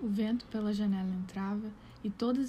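Somewhat breathy, a woman speaks with a dark, mellow tone at a fairly high pitch. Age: 20s. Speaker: content creator, pedagogy graduate. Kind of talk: poetry reading.

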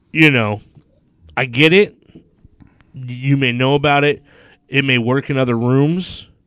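A man's medium-pitched, animated voice at a fairly slow pace, with ordinary pitch variation and long, frequent pauses. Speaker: podcast host and comic. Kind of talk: angry rant, profane complaining venting. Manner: animated, irate, sarcastic, swearing-heavy.

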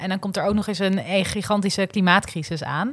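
A woman speaks in an ordinary speaking voice at medium pitch and a moderate pace. The recording is very clean, with a silent background. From Noord-Holland, Netherlands. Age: 20s. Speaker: young politician. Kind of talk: political discussion.

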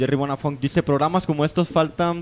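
A man's ordinary speaking voice, fairly high in pitch, at a fairly quick pace. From Mexico. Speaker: radio host. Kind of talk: casual radio talk.

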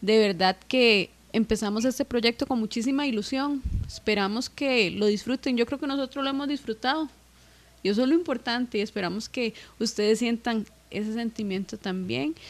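A woman with an unremarkable speaking voice, fairly high in pitch, with ordinary pitch variation at a moderate pace. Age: 20s. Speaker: musician. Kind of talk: casual chat.

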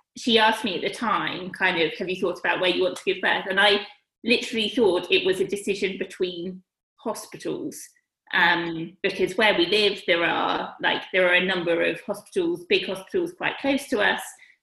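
A plain, everyday voice from a woman, moderate in pace, medium in pitch, with ordinary pitch variation. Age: 30s. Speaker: vet and expectant mother. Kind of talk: interview.

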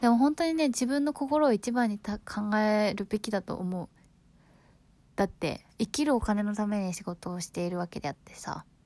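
A woman's fairly high voice with a dark, mellow tone and big swings in loudness, on a very clean recording with a silent background. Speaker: podcast host. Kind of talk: casual monologue. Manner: fast; animated.

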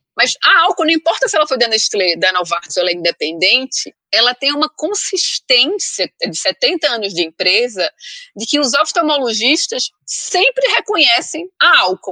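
A woman in a Pernambuco accent speaks in a raised, projected voice at a high pitch with very wide pitch swings, at a fairly slow pace with hardly any pauses, the sound dry and close with no echo. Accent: Northeastern Brazilian (Pernambuco). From Brazilian Northeast, Recife (Pernambuco). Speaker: head of communications / branding specialist. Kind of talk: interview.

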